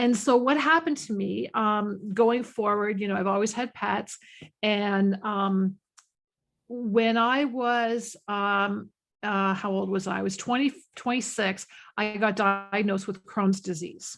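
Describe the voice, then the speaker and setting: A woman speaks at a fairly slow pace in a plain, everyday voice, her pitch medium with ordinary variation. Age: 50s. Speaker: animal communicator. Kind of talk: interview. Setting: podcast.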